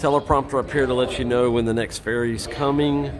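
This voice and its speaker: A man talks with clear music in the background. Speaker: traveler vlogger. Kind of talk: casual travel tutorial. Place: waterside. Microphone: phone near.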